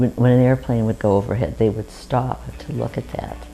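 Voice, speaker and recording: With music in the background, a woman speaks at a very deep, low pitch. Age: 70s. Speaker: interviewee recalling childhood. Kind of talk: oral history interview.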